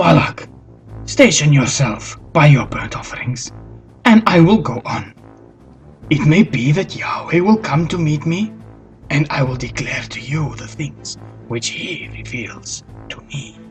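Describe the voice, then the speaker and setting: This is a cartoonish character voice at a fairly slow pace. Clear music plays in the background. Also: man, fairly high pitch for a man. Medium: puppet.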